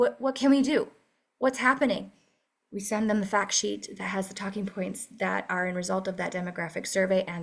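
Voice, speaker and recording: A woman talks at a fairly quick pace and medium pitch, with ordinary pitch variation and vocal fry. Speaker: advocacy task force leader. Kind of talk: meeting presentation. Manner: fast.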